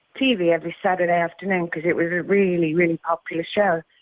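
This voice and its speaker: A woman speaks with a British accent. Her intonation stays fairly even. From UK. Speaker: former professional wrestler. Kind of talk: interview.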